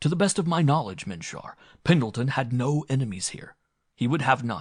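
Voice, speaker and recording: Putting on a character voice, a man speaks fairly quickly at a medium pitch with big swings in loudness. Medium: read story. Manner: formal, stilted speech without contractions; polite, calm, dignified.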